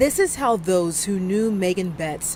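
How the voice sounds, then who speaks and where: A normal speaking voice, ordinary in pitch movement, delivered at a moderate speed. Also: woman. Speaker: TV news reporter and anchor. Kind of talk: TV news report and anchor read.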